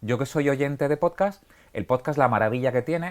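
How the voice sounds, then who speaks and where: A man at a very fast pace and medium pitch, on a very clean recording with a silent background. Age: 40s. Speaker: podcaster and writer on detective stories. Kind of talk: TV interview. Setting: TV set in a bookshop. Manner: halting with fillers.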